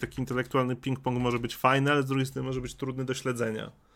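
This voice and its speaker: A man's voice at medium pitch. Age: 30s. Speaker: streamer. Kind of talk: casual chat.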